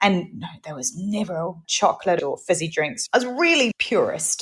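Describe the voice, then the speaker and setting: A woman speaks at a medium pitch, somewhat breathy. Her intonation is lively. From New Zealand. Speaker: podcast host. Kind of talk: casual chat.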